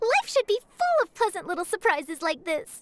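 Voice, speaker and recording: Doing a squeaky put-on character voice at extremely high pitch, a woman speaks at a moderate pace with a dry, close sound and no echo. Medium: video game. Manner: bright, chatty.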